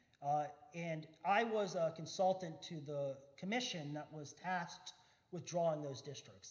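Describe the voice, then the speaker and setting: High-pitched male speech with ordinary pitch variation and audible room echo. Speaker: redistricting consultant and expert panelist. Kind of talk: panel talk. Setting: church forum with audience. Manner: fast.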